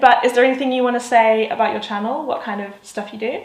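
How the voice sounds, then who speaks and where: Over noticeable background noise, a woman talks at a very fast pace with a high pitch and ordinary pitch variation. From South of England. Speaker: digital nomad vlogger. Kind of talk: casual talk to camera.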